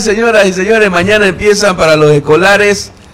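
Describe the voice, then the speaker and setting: Amid noticeable background noise and audible room echo, a man speaks fairly quickly in a high pitch with lively intonation. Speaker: radio host. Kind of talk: morning radio show. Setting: radio studio.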